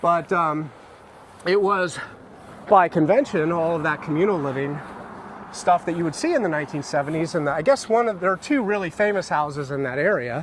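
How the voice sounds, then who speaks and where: With noticeable background noise, a man with an American accent speaks at a fairly quick pace and a high pitch, showing ordinary pitch variation. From San Francisco, California. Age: 50s. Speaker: YouTuber. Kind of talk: casual chat. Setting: outdoors.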